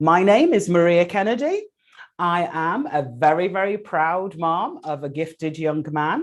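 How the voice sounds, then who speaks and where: Speaking with an English accent, a woman uses a fairly low pitch, a fairly slow pace and ordinary pitch variation. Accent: English accent, noticeable. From England. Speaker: educator and webinar host. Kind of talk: webinar hosting and guest introduction. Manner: enthusiastic.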